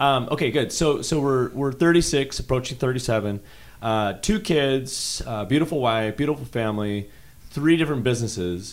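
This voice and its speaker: A man talks at a moderate pace in an unremarkable speaking voice. His pitch is medium and his intonation lively. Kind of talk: casual interview.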